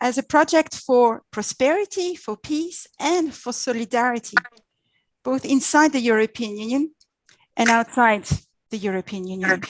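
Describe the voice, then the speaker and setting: A woman with a French accent speaks at a moderate pace and high pitch, her intonation lively, with long, frequent pauses in a dry, close sound with no echo. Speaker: diplomat. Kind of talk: presentation. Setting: video call.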